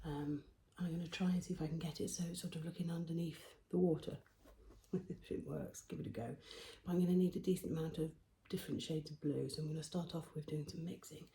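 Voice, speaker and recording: A soft-spoken woman with a British accent talks at a fairly quick clip in a somewhat breathy, fairly low voice, her dark, mellow tone held in a monotone, flat delivery. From England. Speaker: painter. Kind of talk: casual talk to camera.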